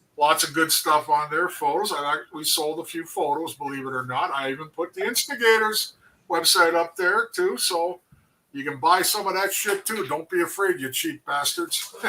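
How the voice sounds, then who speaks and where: A man with a Canadian accent has an ordinary speaking voice, pitched fairly high, moving at a moderate pace with ordinary pitch variation. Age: 60s. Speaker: former hockey player, co-host. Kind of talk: casual chat.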